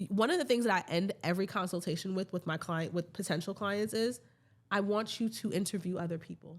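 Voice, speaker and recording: A woman with an American accent, medium in pitch, talking very fast with ordinary pitch variation, on a very clean recording with a silent background. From New York. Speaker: event planner. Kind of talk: casual chat.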